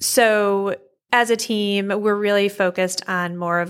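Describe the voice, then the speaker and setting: In an unremarkable speaking voice, a woman with an American accent talks at a fairly slow pace with fairly even intonation. The recording is very clean, with a silent background. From upstate New York. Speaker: financial advisor. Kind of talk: interview. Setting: office.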